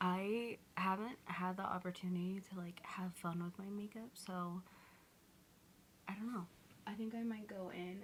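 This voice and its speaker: The speaker moves at a fairly slow pace with fairly even intonation, and noticeable background noise is present. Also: woman. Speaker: lifestyle vlogger. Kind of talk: casual vlog talk. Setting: at home.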